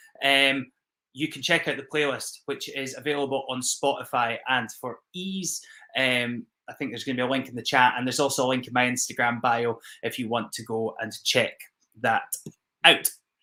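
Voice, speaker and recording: With a strong Scottish accent and a bright, sharp tone, a man speaks at a moderate pace with fairly even intonation and big swings in loudness. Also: medium pitch for a man. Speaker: whisky ambassador. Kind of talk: live-streamed virtual whisky tasting. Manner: casual, with many fillers.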